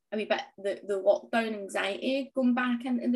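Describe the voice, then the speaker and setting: A woman speaks in a Scottish accent. Her voice is high-pitched, with ordinary pitch variation. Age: 30s. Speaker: small business owner and fitness transformation story guest. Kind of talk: interview conversation.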